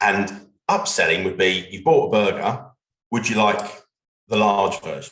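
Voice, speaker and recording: At a fairly slow pace, a man speaks with a British accent. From UK. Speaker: legal business development consultant. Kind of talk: webinar conversation.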